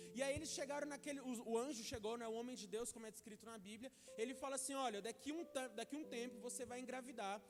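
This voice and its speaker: A man's extremely high pitch at a very fast pace, hardly any pauses, noticeable background noise behind. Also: fairly even intonation. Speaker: preacher. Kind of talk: sermon.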